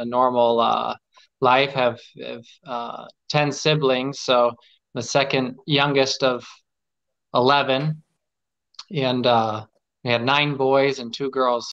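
The speaker, in an American accent, talks at a very slow pace with long, frequent pauses. Intonation stays monotone and flat against a quiet background. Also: man. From US Midwest, Omaha Nebraska; Nebraska. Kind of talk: casual chat. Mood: warm, reflective. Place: home room. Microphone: video call.

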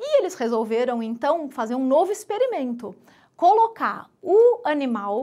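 A woman's fairly slow delivery with very wide pitch swings, over a quiet background. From Brazil. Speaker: biologist science communicator. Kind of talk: stand-up comedy. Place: studio. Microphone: lapel.

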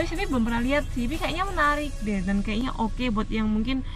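Faint music plays in the background as a woman talks at a fairly quick pace, in a dry sound with no echo. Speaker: travel vlogger. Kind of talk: casual vlog chat. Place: car. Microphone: phone near.

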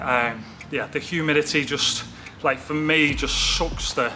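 A man talks fairly slowly. Clear music sounds in the background. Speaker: fitness vlogger. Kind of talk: casual vlog chat. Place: gym.

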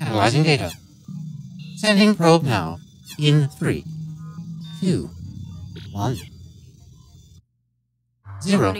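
Over music in the background, a man in a put-on, robotic character voice talks at a fairly slow pace with a fairly high pitch and long, frequent pauses. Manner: monotone.

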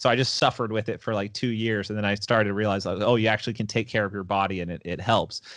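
Against a quiet background, a man with a medium-pitched voice speaks in a bright, sharp tone, the sound dry with no echo. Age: 20s. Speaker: jiu-jitsu competitor and gym owner; podcast guest. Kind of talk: casual chat; interview answer. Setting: podcast interview.

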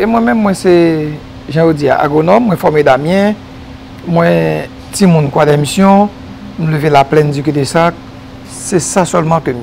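Speaking at a very slow pace, a man uses a fairly high pitch with ordinary pitch variation. Long, frequent pauses break up his speech over light background noise. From Haiti. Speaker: agronomist and environmental specialist; guest. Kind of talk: TV interview. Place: studio. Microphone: lapel.

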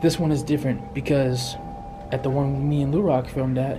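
A man speaks at a moderate pace while music plays in the background. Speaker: explorer vlogger. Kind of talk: casual vlog chat. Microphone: phone near.

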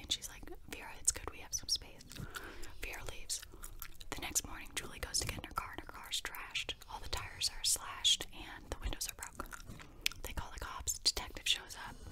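A woman whispers at a fairly quick pace. Her loudness swings widely. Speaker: ASMR creator. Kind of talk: ASMR movie review. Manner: casual, chatty. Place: home room. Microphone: studio mic.

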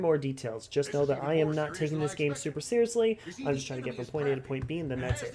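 Noticeable background noise sits behind this man. He talks very fast with lively intonation. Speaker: gaming channel host. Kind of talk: gameplay commentary.

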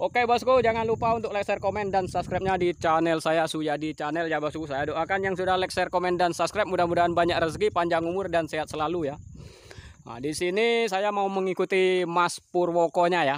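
Very fast pace from a man with a high pitch and ordinary pitch variation, in a dry sound with no echo over light background noise. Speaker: vlogger. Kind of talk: casual vlog chat. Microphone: phone near.

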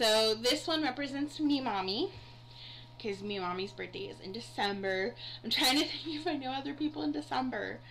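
Over light background noise, a woman's fairly high voice moves through very wide pitch swings. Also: moderate pace. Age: 30s. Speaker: YouTuber. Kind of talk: unboxing video. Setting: recording at night. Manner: casual, chatty. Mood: warm, sentimental. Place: home room. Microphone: webcam.

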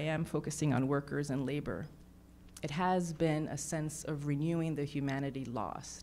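A woman with a New York accent speaks at a fairly slow pace in a very deep, low pitch over light background noise. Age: 50s. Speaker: artist; panelist. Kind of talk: panel discussion. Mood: earnest, reflective. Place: hall. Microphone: handheld.

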